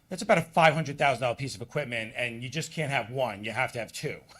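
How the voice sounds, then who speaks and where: A loud man's voice, fairly high-pitched and bright and sharp in tone, with lively intonation on a very clean recording over a silent background. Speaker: waste collection company owner. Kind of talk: public presentation at village board meeting. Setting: public meeting room, microphone for live stream. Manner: casual, halting with many fillers.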